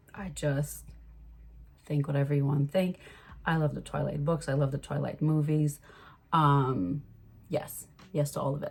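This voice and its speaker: A woman speaks at a very deep, low pitch and a moderate pace, with a somewhat breathy voice. Her intonation is fairly even, broken by long, frequent pauses. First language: French. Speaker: vlogger. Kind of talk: casual vlog chat.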